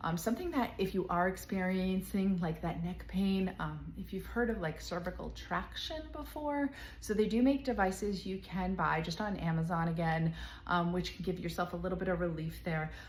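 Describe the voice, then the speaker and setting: This woman talks at a moderate pace. Room echo can be heard. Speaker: physical therapist and knitting channel host. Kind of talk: tutorial. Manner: animated.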